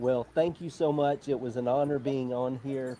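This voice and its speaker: This man's voice has a dark, mellow tone, a fairly high pitch and an Alabama accent. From Alabama, US South. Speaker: motorsport journalist. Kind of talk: interview.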